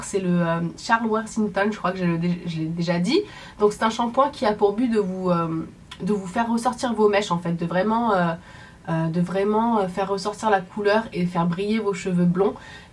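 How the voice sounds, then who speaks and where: This woman's voice is somewhat breathy, with medium pitch and ordinary pitch variation. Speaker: beauty vlogger. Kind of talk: casual product review vlog. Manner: animated.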